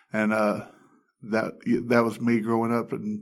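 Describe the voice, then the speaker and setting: A medium-pitched man with an Alabama accent, at a fairly slow pace. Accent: Southern US (Alabama). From Alabama, US South. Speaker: addiction recovery ministry staff. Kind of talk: testimony. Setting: studio.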